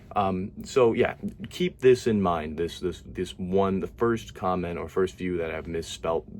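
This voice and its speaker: A man talks quietly in a very deep, low voice. His pace is fairly slow. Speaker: YouTuber reacting to comment sections. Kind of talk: casual commentary. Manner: quiet, low-energy; halting, many fillers and repeats.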